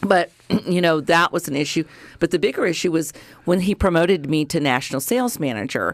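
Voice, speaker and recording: An ordinary speaking voice from a woman, fairly low in pitch, with lively intonation and an American accent. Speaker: radio host. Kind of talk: casual chat.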